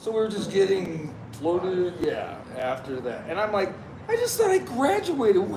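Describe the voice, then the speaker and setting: With an American accent, the speaker talks at a moderate pace over audible room echo and noticeable background noise. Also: man. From Texas. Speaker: army veteran. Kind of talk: casual chat.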